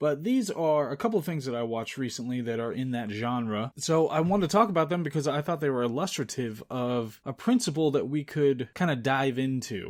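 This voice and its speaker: A man speaks in a normal speaking voice, fairly high-pitched for a man, at a fairly quick pace with hardly any pauses and lively intonation, on a very clean recording with a silent background. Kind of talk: movie review commentary podcast, casual talk to camera.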